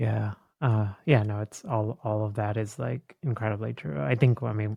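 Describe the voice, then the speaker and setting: With an American accent, a man speaks in a fairly low, somewhat breathy voice with a dark, mellow tone and ordinary pitch variation, recorded with a dry, close sound and no echo. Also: moderate pace. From India, moved to US as a child. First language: Indian language. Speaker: psychologist and podcaster. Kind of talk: interview conversation.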